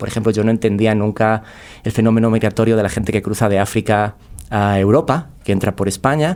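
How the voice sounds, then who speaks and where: This man talks at a very fast pace in a medium-pitched voice. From Spain. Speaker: podcast guest, creative. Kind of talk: casual interview chat.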